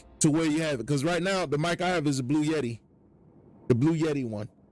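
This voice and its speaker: Music plays in the background as a man speaks. His voice sits at a fairly high pitch with ordinary variation. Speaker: gaming streamer. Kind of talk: tutorial. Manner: loud.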